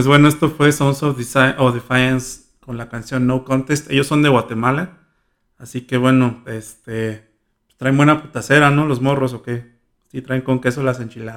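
A man speaks in a monotone, flat delivery at a medium pitch and moderate pace. The recording is very clean, with a silent background. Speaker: student radio host. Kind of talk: casual radio show.

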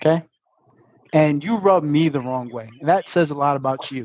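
Intonation rises and falls in a lively way as the speaker talks with a Brooklyn accent. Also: man. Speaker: podcast host.

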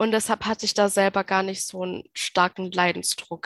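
The speech comes in a monotone with flat intonation, sounding dry and close with no echo over a quiet background. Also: woman. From Baden-Württemberg, Germany. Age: 20s. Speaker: nurse and mental health patient sharing experience. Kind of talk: interview testimony.

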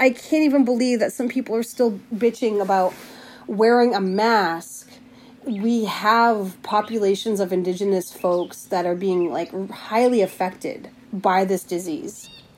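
A woman speaks at a fairly slow pace with ordinary pitch variation and a medium pitch. Hers is a normal speaking voice. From Plains Cree, Canada. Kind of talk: personal diary, reflective.

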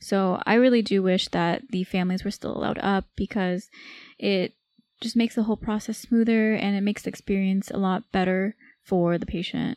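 A normal speaking voice from a woman with an American accent, medium pitch, fairly quick pace and fairly even intonation, dry and close with no echo, on a very clean recording with a silent background. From California, Bay Area. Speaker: medical resident, podcast co-host. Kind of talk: casual chat.

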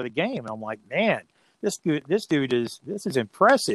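This man has an unremarkable speaking voice, fairly high in pitch, with lively intonation. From Ohio. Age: 60s. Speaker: radio play-by-play announcer. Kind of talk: casual interview. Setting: remote call from home.

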